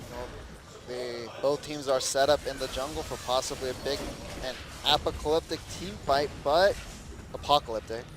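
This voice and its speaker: A man talks at a moderate pace in a fairly high voice, leaving long, frequent pauses. His intonation is fairly even, and there is noticeable background noise. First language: Korean. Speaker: esports caster. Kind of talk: live commentary.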